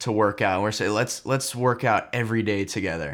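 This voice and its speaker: A man speaks at medium pitch with ordinary pitch variation in an unremarkable speaking voice. The recording is very clean, with a silent background. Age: 20s. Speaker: content creator and mindset coach. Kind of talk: casual chat.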